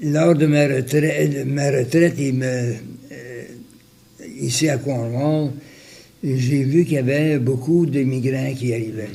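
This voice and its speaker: A man speaks very slowly at medium pitch, with long, frequent pauses. His tone is dark, mellow and somewhat breathy, and his intonation fairly even. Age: 80s+. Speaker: retired volunteer. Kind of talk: interview answer. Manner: hesitant, many fillers.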